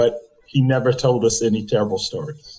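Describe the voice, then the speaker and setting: Somewhat breathy, a man with a South Carolina accent speaks at a moderate pace. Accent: Southern US (South Carolina). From US South, Conway, South Carolina. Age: 70s. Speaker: interview guest, community figure. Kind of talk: interview.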